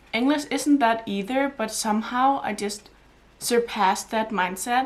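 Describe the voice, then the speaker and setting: Her pitch is fairly high, with ordinary variation. The woman speaks at a fairly slow pace. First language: not Danish or English. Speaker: book vlogger. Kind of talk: casual vlog talk. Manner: halting.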